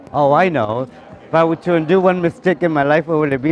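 The sound is dry, with no echo. Faint music plays in the background. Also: man. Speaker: interviewee. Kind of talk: interview answer. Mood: joking, relaxed. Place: street. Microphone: phone near.

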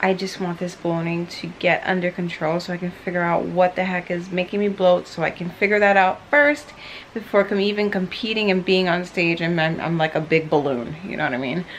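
A woman's plain, everyday voice, fairly low in pitch, with ordinary pitch variation, a fairly quick pace, hardly any pauses, and light background noise. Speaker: fitness vlogger. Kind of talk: casual vlog chat. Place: home room. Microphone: phone near.

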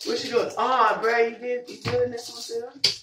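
A woman at a fairly high pitch with little pitch movement, a fairly bright tone and a moderate pace, with audible room echo

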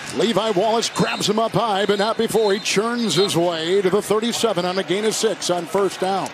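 A man's high-pitched voice at a fairly slow pace, fairly even in intonation, with noticeable background noise and a dry sound with no echo. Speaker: play-by-play announcer. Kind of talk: live commentary. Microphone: headset.

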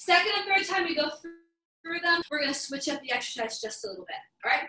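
A woman's raised, projected voice at a fairly quick pace, with audible room echo. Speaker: fitness instructor. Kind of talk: live workout class instruction. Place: home room. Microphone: camera far.

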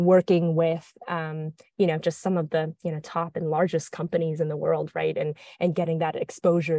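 A dark, mellow tone moves at a fairly quick pace with monotone, flat intonation, in a dry sound with no echo and a quiet background. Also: woman. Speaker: guest. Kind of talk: interview answer. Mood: friendly, smiling. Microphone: earbuds.

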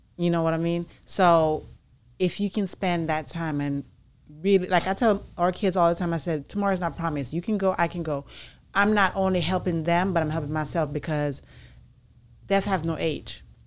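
A woman's fairly low voice at a moderate pace with fairly even intonation. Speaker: podcast co-host. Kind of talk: casual chat. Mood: earnest, reflective, faith-filled. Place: studio. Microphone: studio mic.

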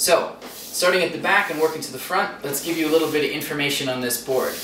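A man talks at a fairly quick pace. There is light background noise and audible room echo. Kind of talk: product review. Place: studio.

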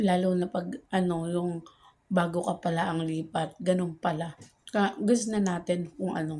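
Soft-spoken and somewhat breathy, a woman uses a dark, mellow tone at a fairly low pitch, with fairly even intonation and a fairly slow pace. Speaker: vlogger. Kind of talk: casual monologue update. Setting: outdoors at the back, filming while waiting.

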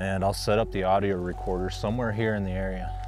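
Over clear background music, a man with a low pitch speaks fast with little pitch movement.

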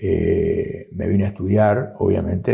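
A man's fairly low voice has a dark, mellow tone and is somewhat breathy. The background stays quiet. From Argentina, Corrientes province. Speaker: writer; interviewee. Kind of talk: interview. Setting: historic house, university seat. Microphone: lapel.

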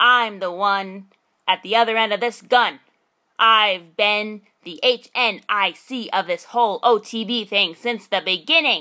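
Using a cartoonish character voice, a woman speaks at a moderate pace with a medium pitch and ordinary pitch variation. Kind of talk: audition read. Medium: puppet. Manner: loud, gloating.

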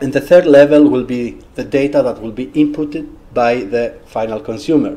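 A man talks at a moderate pace with a Greek accent. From Greece. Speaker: researcher and social entrepreneur. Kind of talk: talk with questions. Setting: seminar room with audience. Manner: halting. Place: classroom.

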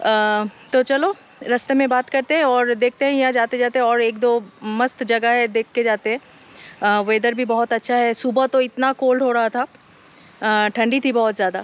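A woman's high-pitched voice comes through at very even loudness with a dry sound and no echo. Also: fairly even intonation, fairly slow pace. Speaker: travel vlogger. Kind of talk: casual vlog chat. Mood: cheerful, relaxed. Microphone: phone near.

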